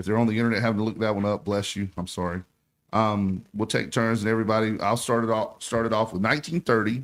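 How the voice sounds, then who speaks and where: With an American accent, a man at medium pitch talks at a very fast pace on a very clean recording with a silent background. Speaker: sports radio host. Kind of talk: radio talk show. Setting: radio studio. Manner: animated.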